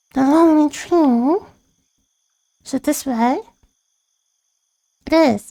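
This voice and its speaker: A woman in a put-on character voice speaks high-pitched and fairly slowly, with long, frequent pauses. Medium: virtual streamer.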